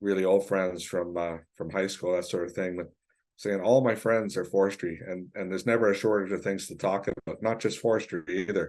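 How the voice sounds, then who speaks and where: Over a quiet background, a man with a Canadian accent talks at a fairly quick pace in a fairly low pitch, his intonation monotone and flat. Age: 60s. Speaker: forestry non-profit executive director. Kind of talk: podcast interview. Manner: halting, many repetitions.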